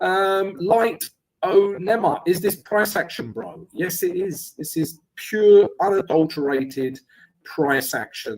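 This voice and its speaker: A man speaks at a fairly slow pace in a strong London accent. His voice is high, with lively intonation. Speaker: trading educator and live streamer. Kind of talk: live trading stream with chat Q&A. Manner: casual, conversational.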